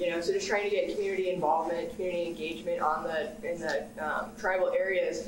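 There is audible room echo and noticeable background noise. A woman speaks with ordinary pitch variation. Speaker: graduate student panelist. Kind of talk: panel discussion. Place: meeting room. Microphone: camera far.

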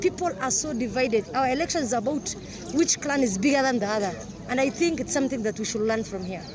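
Very fast speech, a dry sound with no echo, and noticeable background noise. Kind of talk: interview answer. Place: open country.

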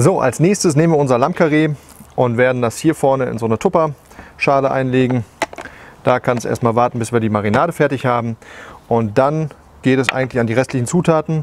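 A man talks at a fairly quick pace with ordinary pitch variation, the sound dry with no echo and light background noise behind him. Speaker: barbecue cooking show host. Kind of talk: tutorial. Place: garden. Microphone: lapel.

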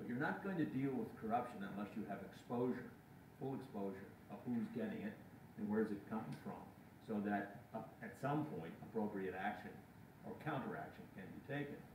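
A man talks at a fairly quick pace with ordinary pitch variation, amid noticeable background noise and audible room echo. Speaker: journalist in audience. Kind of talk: audience question. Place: classroom. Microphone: camera far.

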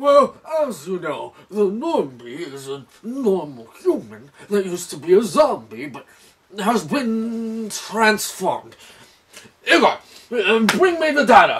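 Here a man speaks at a fairly slow pace with a high pitch and very wide pitch swings. His loudness swings widely too. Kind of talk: comic overacting. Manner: obsessive, commanding.

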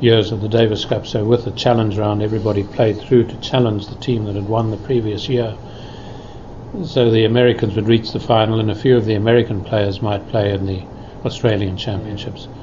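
Monotone, flat delivery at a fairly quick pace over noticeable background noise. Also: man, fairly low pitch for a man. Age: 60s. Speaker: former tennis player and commentator. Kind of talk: interview answer.

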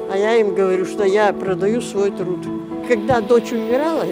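The sound is dry with no echo, and music plays clearly in the background. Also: woman. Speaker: self-published fairy tale author. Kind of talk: interview answer. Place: street.

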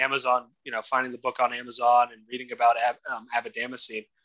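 Over a quiet background comes a voice with a bright, sharp tone. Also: man. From Atlanta, Georgia; Georgia. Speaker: podcast guest. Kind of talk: interview testimony. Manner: halting, many repetitions. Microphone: video call.

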